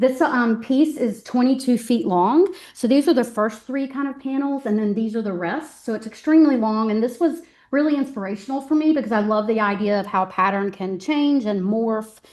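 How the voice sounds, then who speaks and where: Fairly high in pitch with ordinary variation, a woman with a normal speaking voice talks at a moderate pace. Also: hardly any pauses. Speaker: art professor. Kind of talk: artist talk. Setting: gallery talk with live audience. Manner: many filler ums.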